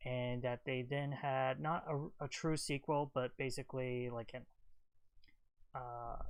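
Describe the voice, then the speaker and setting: With monotone, flat intonation, a man speaks at a medium pitch and a fairly slow pace. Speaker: gaming and movie livestream host. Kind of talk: casual livestream commentary. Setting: livestream. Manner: repeats words, stutter-like.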